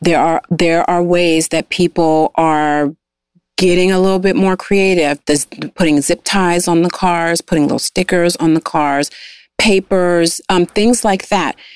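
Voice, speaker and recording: A woman speaks in an ordinary speaking voice, fairly low in pitch and at a fairly slow pace. The recording is very clean, with a silent background and a dry, close sound with no echo. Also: very even loudness. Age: 40s. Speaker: guest sharing life story. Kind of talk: casual interview.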